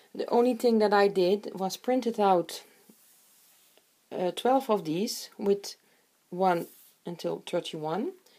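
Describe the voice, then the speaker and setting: A woman speaks very slowly at medium pitch with a non-native accent, her tone dark and mellow. Her pitch varies in an ordinary way, and she leaves long, frequent pauses. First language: not English. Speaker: crafter. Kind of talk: tutorial. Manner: halting.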